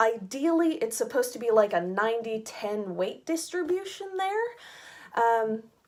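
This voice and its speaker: At a fairly slow pace, a woman with an American accent speaks in a fairly high pitch with very wide pitch swings. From United States. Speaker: fashion subscription box reviewer. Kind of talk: casual rant.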